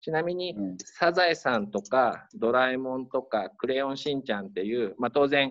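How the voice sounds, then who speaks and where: In a plain, everyday voice, a man speaks at medium pitch with lively intonation. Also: moderate pace. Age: 40s. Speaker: high school principal. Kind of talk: interview.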